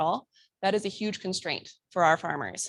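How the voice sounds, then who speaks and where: With an unremarkable speaking voice and an American accent, a woman talks at medium pitch and a moderate pace, her pitch varying in an ordinary way, in a very clean recording with a silent background. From Minnesota. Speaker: conservation presenter working with farmers. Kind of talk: conference presentation.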